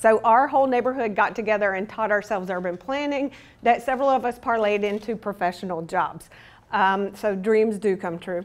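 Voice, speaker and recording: A woman with an American accent and an unremarkable speaking voice, lively intonation, and a moderate pace. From US South. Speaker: urban planning consultant. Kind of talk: conference presentation.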